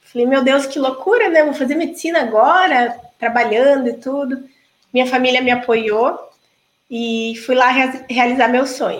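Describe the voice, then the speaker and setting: Her voice high-pitched, a woman keeps to a moderate pace. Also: ordinary pitch variation. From Brazil, Paraná (Toledo). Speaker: gynecologist and obstetrician. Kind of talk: interview.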